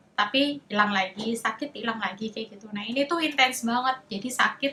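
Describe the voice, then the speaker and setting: There is noticeable background noise behind this woman's high-pitched voice. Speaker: vlogger, cancer patient. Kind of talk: casual vlog monologue. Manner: casual, chatty.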